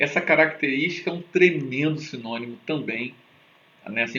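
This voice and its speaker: A man's speech at a moderate pace with ordinary pitch variation. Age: 40s. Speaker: teacher. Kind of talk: lecture. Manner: casual, animated.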